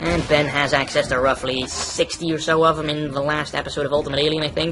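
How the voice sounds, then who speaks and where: Talking at a very fast pace, a man with a fairly high pitch keeps a monotone, flat intonation amid noticeable background noise. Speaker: gaming youtuber. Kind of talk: let's play commentary. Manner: casual.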